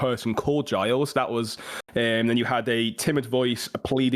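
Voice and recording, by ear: A natural voice reads aloud, its intonation staying fairly even.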